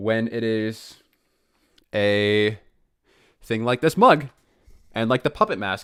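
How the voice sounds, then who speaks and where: A man with an American accent speaks at medium pitch in an animated tone with ordinary pitch variation. The recording is very clean, with a silent background. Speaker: animator and streamer. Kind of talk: casual live stream chat. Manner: fast.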